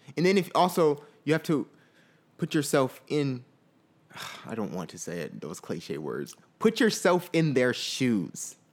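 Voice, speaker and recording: Fairly slow and broken by long, frequent pauses, a man's voice shows vocal fry and very wide pitch swings. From Fort Lauderdale, Florida. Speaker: podcast co-host. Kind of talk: casual chat.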